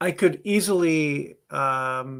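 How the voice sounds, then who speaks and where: An unremarkable speaking voice from a man, pitched fairly high and showing ordinary pitch variation. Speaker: podcast co-host. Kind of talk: casual chat. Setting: live podcast.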